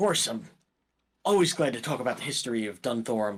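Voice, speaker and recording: In a raspy put-on character voice of medium pitch, a man talks at a fairly quick pace with very wide pitch swings and big swings in loudness. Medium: actual play. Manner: hesitant, stammering.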